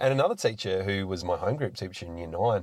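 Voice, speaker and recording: In a very clean recording with a silent background, the speaker talks at a fairly quick pace with an Australian accent. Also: man. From South Australia, rural south-east. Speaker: local councillor and business owner. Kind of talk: podcast interview.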